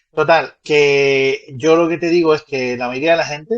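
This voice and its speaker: A man speaks with a Canarian accent. His pitch sits fairly high, and his pace is moderate. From Canary Islands. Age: 30s. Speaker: guest explaining Canarian culture. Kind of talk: casual explanatory chat. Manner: hesitant, with fillers and restarts.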